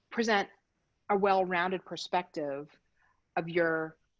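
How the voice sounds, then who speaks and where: With ordinary pitch variation, a woman talks as the background stays quiet. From Philadelphia, Pennsylvania. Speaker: design practice lead, presenter. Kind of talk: presentation. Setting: video call from home. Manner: fast.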